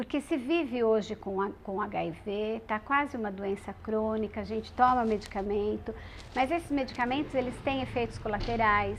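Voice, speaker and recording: Her voice is an unremarkable speaking voice, as a woman talks at a moderate pace with a fairly high pitch and ordinary pitch variation. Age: 40s. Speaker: radio presenter living with HIV. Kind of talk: testimony.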